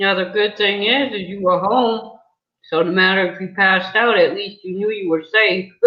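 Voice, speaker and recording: Someone talks in a plain, everyday voice with an American accent. The pace is moderate and the intonation fairly even. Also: woman, medium pitch for a woman. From New England, US. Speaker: video interviewer, mother. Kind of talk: casual chat.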